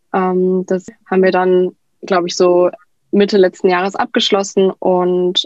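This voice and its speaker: In a plain, everyday voice, a woman speaks at a moderate pace. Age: 20s. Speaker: cookbook author. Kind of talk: casual interview.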